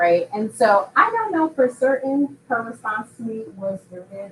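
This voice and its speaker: A woman talks fairly slowly, her pitch varying in an ordinary way, while noticeable noise sits in the background. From Upstate New York. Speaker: professor. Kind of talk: conference talk.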